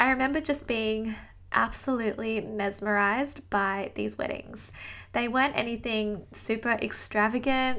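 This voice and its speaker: Speaking at a moderate pace with an Australian accent, a woman uses a fairly high, bright, sharp voice with ordinary pitch variation, in a very clean recording with a silent background. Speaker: podcast host and business coach. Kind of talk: solo podcast monologue, personal story.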